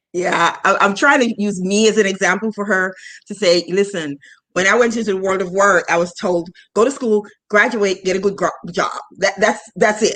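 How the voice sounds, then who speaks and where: A woman with a plain, everyday voice at a medium pitch, a moderate pace and fairly even intonation. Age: 50s. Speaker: finance podcast host. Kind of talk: casual interview chat.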